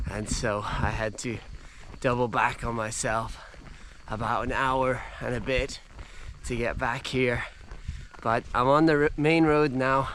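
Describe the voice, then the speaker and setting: A man at medium pitch speaks at a fairly slow pace with long, frequent pauses. Room echo is audible. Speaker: travel vlogger, hiker. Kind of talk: vlog narration. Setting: outdoors. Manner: casual; quiet.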